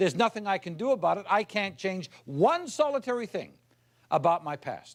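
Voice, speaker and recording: Pitched high, a man talks in an animated tone at a moderate pace with lively intonation. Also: very clean recording, silent background. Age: 60s. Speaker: motivational speaker. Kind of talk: keynote speech; humorous anecdote.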